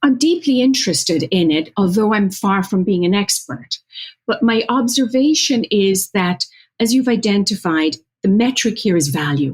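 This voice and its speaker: A woman with an Irish midlands accent speaks at a medium pitch and moderate pace, somewhat breathy. Her pitch swings very widely while her loudness stays very even. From Ireland, County Offaly. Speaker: marketing executive. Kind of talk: interview. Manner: formal.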